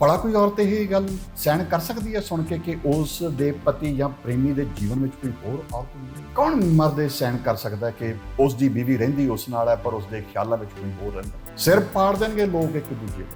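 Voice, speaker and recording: A man's fairly high voice with very wide swings in pitch, music playing in the background. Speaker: writer and presenter. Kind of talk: reflective monologue.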